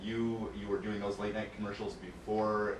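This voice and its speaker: Medium-pitched male speech at a moderate pace over noticeable background noise. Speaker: radio show host. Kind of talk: radio interview host.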